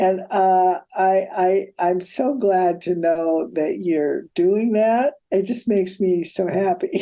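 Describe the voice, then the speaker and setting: A woman with an American accent speaks very slowly at medium pitch, with hardly any pauses, ordinary pitch variation and very even loudness. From US Midwest (South Dakota). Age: 80s+. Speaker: film historian. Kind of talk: interview.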